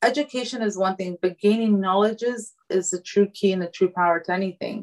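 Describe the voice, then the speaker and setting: Speaking with an American accent, a woman uses an unremarkable speaking voice at medium pitch, fairly quick in pace, with ordinary pitch variation. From United States. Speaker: fashion designer. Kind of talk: casual interview.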